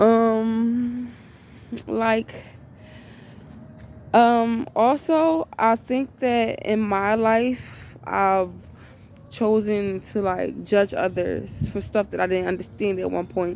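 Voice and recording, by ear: A woman talks slowly in a fairly high voice with a slightly mellow tone. Her intonation stays fairly even, with some vocal fry.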